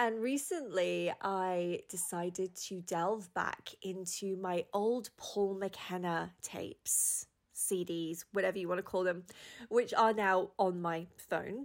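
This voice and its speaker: The speech runs at a very slow pace with fairly even intonation in a very clean recording with a silent background. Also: woman, medium pitch for a woman. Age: 40s. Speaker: podcast host and mindset coach. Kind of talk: casual monologue.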